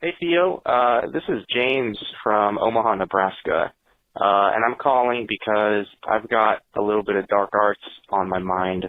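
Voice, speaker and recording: A man speaks in a plain, everyday voice at a fairly low pitch. His pace is fairly slow, with ordinary pitch variation. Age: 20s. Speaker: caller. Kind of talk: testimony.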